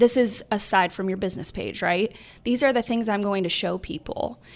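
A woman talks at a medium pitch with ordinary pitch variation. Hers is an unremarkable speaking voice. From northern New York. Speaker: real estate agent. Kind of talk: casual interview.

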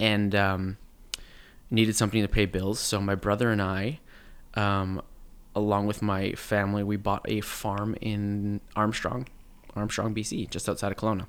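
In a Canadian accent, a man with a fairly low pitch talks at a fairly slow pace in an ordinary speaking voice. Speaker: actor. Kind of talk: casual chat.

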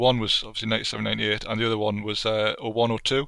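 A man with a Geordie accent at a moderate pace, in a very clean recording with a silent background. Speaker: football video game enthusiast and writer. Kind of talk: casual chat.

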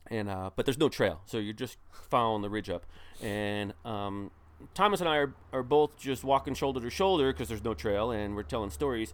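The man has a plain, everyday voice at a medium pitch, speaking at a fairly quick pace. His intonation is lively, and the recording is very clean with a silent background. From northern New Jersey. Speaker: ultrarunner and coach. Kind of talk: casual chat.

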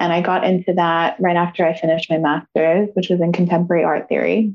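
Calm in tone, a woman talks at a medium pitch. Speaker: yoga teacher and life coach. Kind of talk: interview.

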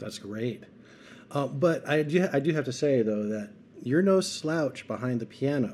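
A man with a plain, everyday voice, a fairly high pitch, and lively intonation speaks at a moderate pace. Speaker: interviewer. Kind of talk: interview.

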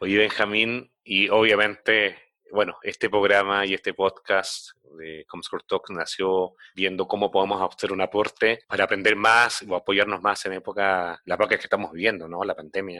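Here a man speaks at a moderate pace and a fairly low pitch, his tone bright and sharp and his intonation monotone and flat. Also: dry, close sound with no echo. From Chile. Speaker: podcast host, marketing executive. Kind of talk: interview. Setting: at home, remote call.

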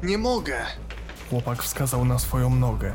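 A man at a moderate pace in a dramatic tone, with music in the background. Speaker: horror story narrator. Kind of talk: scripted horror narration, ghost story telling. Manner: tense, dramatic, building suspense.

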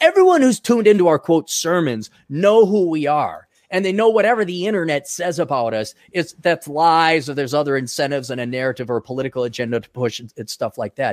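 An animated speaker with an American accent races along at a very fast pace with hardly any pauses and very wide pitch swings. The sound is dry and close, with no echo. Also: man, fairly high pitch for a man. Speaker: podcast host and author. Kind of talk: casual chat.

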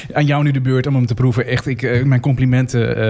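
A man talks at a fairly quick pace in a medium pitch, with noticeable background noise behind him. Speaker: podcast host. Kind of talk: casual chat. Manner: halting, many fillers and restarts.

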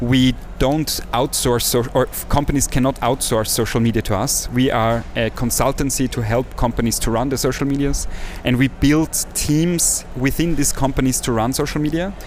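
Against music in the background, a man speaks at a moderate pace with a medium pitch. His loudness is very even and his intonation fairly even. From Austria, villages near Salzburg. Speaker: social entrepreneur and agency CEO. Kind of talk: interview.

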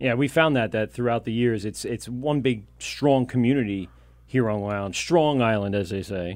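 A man speaks at a moderate pace in an ordinary speaking voice of medium pitch with ordinary pitch variation. The background is quiet. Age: 30s. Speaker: podcast host. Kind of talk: casual chat. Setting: studio.

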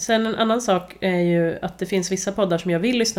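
This woman has an unremarkable speaking voice, fairly low in pitch, moving at a fairly quick pace with fairly even intonation. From Värmland, Sweden. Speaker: podcast host, journalist. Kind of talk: casual chat.

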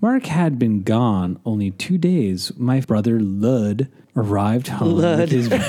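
With lively intonation, a natural reading voice carries the text.

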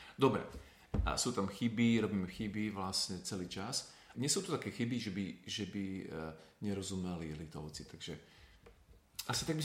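A man uses a normal speaking voice with a fairly low pitch. He talks at a moderate pace with lively intonation. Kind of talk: interview. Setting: recorded abroad on mission trip.

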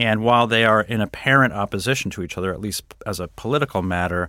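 A bright, sharp tone on a very clean recording with a silent background. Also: man. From New England, US (Connecticut). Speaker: political science professor. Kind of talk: interview.

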